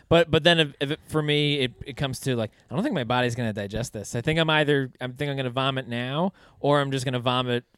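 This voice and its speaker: This man talks very fast, with hardly any pauses. His pitch is medium with ordinary variation. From New York City, Staten Island. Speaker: comedian. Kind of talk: casual chat.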